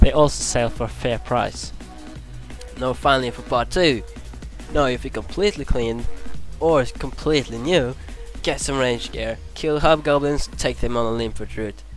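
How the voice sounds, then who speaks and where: Over music in the background, a man speaks at a moderate pace, leaving long, frequent pauses. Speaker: gamer. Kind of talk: game tutorial commentary.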